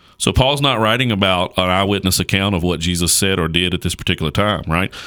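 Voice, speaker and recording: A man talks at a very fast pace in a very deep, low voice. His tone is bright and sharp, and his loudness stays very even. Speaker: pastor. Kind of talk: casual chat about theology. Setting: studio.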